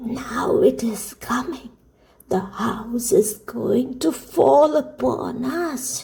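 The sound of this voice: A woman's put-on character voice, breathy and shaky, with a husky, rough edge, vocal fry, a dark, mellow tone, fairly high pitch, ordinary pitch variation and a very slow pace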